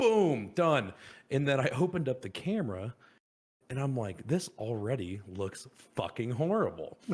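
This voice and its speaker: A man's medium-pitched, somewhat breathy voice with very wide pitch swings at a moderate pace. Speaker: podcast co-host. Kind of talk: casual chat. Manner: animated, lots of swearing and filler.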